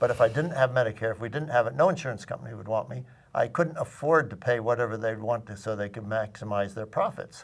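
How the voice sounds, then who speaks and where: A somewhat breathy man at a medium pitch, at a very fast pace with ordinary pitch variation and big swings in loudness. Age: 80s+. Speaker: retired physician. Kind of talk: panel discussion. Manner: halting.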